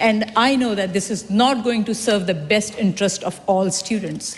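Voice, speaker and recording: A woman's fairly high-pitched voice at a moderate pace, with noticeable background noise. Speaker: politician. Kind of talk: parliamentary speech. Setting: parliament chamber. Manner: emphatic, repetitive.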